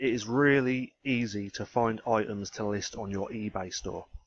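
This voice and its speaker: A mumbling man with a British accent, medium pitch, fairly even intonation and a moderate pace. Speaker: ecommerce trainer, YouTuber. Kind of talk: screen-share tutorial. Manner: casual.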